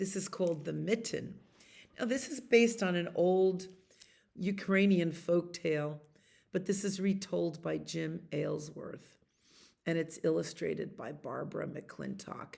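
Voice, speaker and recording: A woman speaks at a fairly slow pace, leaving long, frequent pauses. Her voice is fairly low with vocal fry and ordinary pitch variation. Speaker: librarian storyteller. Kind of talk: children's story time. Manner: warm, gentle and chatty.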